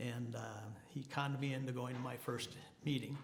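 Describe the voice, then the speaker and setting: In a room with audible echo, a man with an American accent speaks fairly quickly at a medium pitch, his intonation flat and monotone. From Minnesota. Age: 80s+. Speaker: person in long-term recovery, Marine veteran. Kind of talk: testimony. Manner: halting, many fillers.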